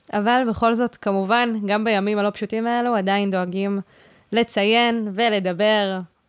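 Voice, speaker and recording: A woman talks in a flat monotone at a fairly slow pace, her pitch medium. Her loudness stays very even on a very clean recording with a silent background. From Israel, Haifa Krayot. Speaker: student podcast host. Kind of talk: interview.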